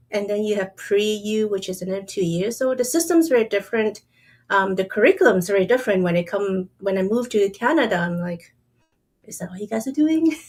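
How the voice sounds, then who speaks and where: Music plays in the background as a woman speaks at a fairly quick pace. Her pitch is medium and her intonation is lively. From Hong Kong. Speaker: podcast co-host. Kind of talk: casual chat.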